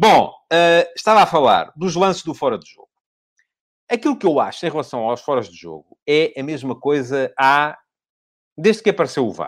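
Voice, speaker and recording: A man speaks at a moderate pace with a fairly high pitch, pausing often and at length. His loudness swings widely from quiet to loud. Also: lively intonation. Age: 50s. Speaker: football pundit. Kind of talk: solo commentary show. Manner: hesitant with fillers.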